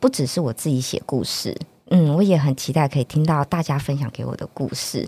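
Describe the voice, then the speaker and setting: Using lively intonation, a woman with a Taiwanese accent talks at a moderate pace in a very deep, low pitch. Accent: Taiwanese Mandarin. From northern Taiwan. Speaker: children's book author and reading promoter. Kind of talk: interview.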